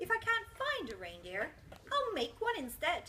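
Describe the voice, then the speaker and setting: Growling in a put-on character voice, a woman speaks at a moderate pace with an extremely high pitch and very wide pitch swings, amid clear background noise. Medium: stage play. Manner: sneering, snarling.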